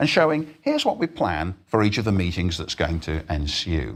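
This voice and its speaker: The recording is very clean with a silent background. A man speaks with lively intonation. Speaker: lecturer on teaching. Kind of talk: lecture. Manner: fast.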